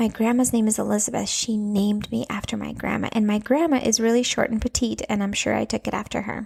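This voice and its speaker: A woman with an American accent talks at a very fast pace and a fairly high pitch, with fairly even intonation and hardly any pauses. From Latvia, then Minnesota from age nine. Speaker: podcaster, parenting coach for moms. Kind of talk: casual monologue podcast. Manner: chatty, filler-heavy.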